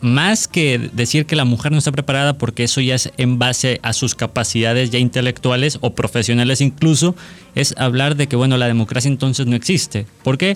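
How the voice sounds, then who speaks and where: A man with a normal speaking voice talks at a fairly quick pace and medium pitch, with ordinary pitch variation, very even loudness and hardly any pauses. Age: 20s. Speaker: law student. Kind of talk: casual chat.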